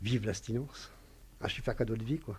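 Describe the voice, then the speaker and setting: At a moderate pace, the voice sounds somewhat breathy with a dark, mellow tone. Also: man. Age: 50s. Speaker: recovering alcoholic patient. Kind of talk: testimony. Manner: halting.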